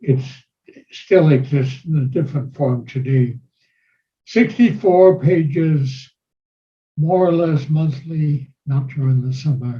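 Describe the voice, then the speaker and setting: At a very slow pace, a man with a fairly high, somewhat breathy voice and a dark, mellow tone speaks with ordinary pitch variation and long, frequent pauses. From Germany. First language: German. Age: 90s. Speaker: war veteran. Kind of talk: interview. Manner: formal.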